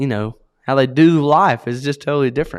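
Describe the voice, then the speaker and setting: Speaking at a moderate pace with an American accent, a man has a medium pitch and ordinary pitch variation on a very clean recording with a silent background. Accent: strong country. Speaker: podcast co-host. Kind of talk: casual chat.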